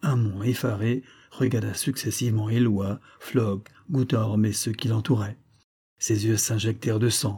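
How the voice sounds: In a natural reading voice with fairly even intonation, the speaker is heard over a quiet background.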